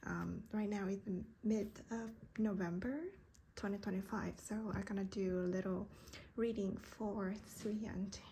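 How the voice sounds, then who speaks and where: The speaker has a Vietnamese accent. The pace is fairly slow. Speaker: tarot card reader. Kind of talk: card reading monologue. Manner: halting, many fillers.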